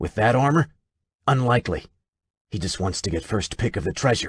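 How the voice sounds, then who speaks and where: A man growls in a put-on character voice at a fairly quick pace, with lively intonation, a dry, close sound with no echo, and a quiet background. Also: medium pitch for a man. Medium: read story. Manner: arrogant, harsh.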